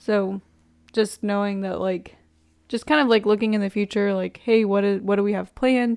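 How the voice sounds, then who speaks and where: This woman has an unremarkable speaking voice at medium pitch, talking at a moderate pace with fairly even intonation. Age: 20s. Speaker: podcast host. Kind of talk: casual chat.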